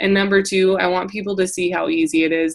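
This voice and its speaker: In a northern US accent, a woman talks at a medium pitch with flat, monotone intonation. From South Dakota, US Midwest. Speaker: essential oils sales coach. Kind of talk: training call. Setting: group call. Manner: casual, filler-heavy.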